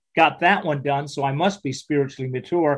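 A man's somewhat breathy voice with a fairly high pitch. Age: 60s. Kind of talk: interview testimony.

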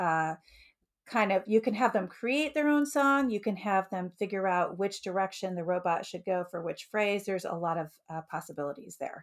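A woman with an American accent and a normal speaking voice talks at a moderate pace in a medium pitch. Her intonation is lively, and the recording is very clean with a silent background. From US Midwest, Metro Detroit, Michigan. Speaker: elementary music teacher. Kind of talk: podcast interview.

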